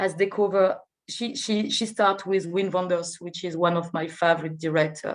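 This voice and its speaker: With a French accent, a woman speaks at a medium pitch and a moderate pace. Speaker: film festival artistic director. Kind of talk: interview. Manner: halting, many hesitations and repetitions; enthusiastic.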